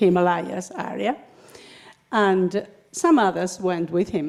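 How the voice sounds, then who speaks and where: Very slow speech from a woman in a Spanish accent, medium in pitch. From Spain. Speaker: spiritual speaker. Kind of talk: talk to a congregation. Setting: spiritual center service with audience. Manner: halting, with fillers.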